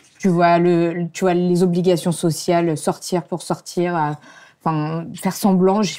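A woman speaks at a fairly low pitch in a dark, mellow tone. Her pace is fairly slow, against a quiet background. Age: 30s. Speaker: YouTuber and brand founder; show host. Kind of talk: casual chat. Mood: relaxed, candid. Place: studio. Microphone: lapel.

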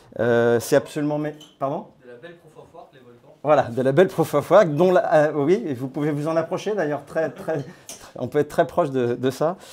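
Loudness swings widely as a man speaks at a moderate pace. His pitch is fairly high, with ordinary variation. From France (born in Grenoble); France. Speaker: crypto platform founder. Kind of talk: talk to a small audience. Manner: hesitant, many fillers. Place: hall. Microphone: lapel.

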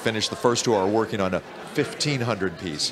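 A man speaks at a moderate pace, with noticeable background noise present throughout. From US Midwest. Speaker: interviewer. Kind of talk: interview. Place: hall.

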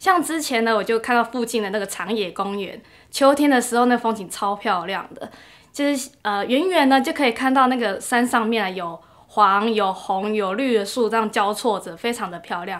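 With a Taiwanese accent, a woman speaks at a moderate pace in a fairly high pitch. Her intonation is lively, and the background is quiet. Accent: Taiwanese Mandarin. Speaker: working holiday visitor; interviewee. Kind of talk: interview testimonial. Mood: warm, pleasant. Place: meeting room.

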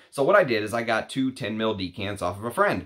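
A man with an unremarkable speaking voice talks at a fairly quick pace and a fairly low pitch. His pitch variation is ordinary, and the background is quiet. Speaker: fragrance reviewer. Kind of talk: casual vlog chat. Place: home room.

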